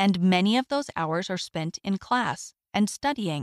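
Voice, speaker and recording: A woman with an unremarkable speaking voice talks at a fairly slow pace and medium pitch. The recording is very clean, with a silent background. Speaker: audio magazine reader. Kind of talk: reading aloud.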